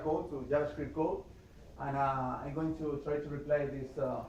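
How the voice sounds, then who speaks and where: With a Spanish accent, a man talks amid noticeable background noise and audible room echo. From Spain, Madrid. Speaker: software developer, conference speaker. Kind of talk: tech talk presentation. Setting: meetup with live audience. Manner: halting, many fillers.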